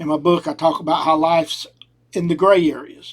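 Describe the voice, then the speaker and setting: Speaking with a strong Southern US accent, a man with a high pitch keeps a moderate pace and fairly even intonation. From US South. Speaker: podcast host. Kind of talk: opinion monologue. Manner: casual.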